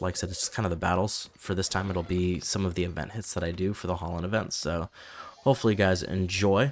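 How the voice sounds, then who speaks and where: A man speaks at a very fast pace. His pitch is very deep and low, and his intonation stays fairly even. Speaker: gaming YouTuber. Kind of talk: casual gameplay commentary. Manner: rambling with fillers.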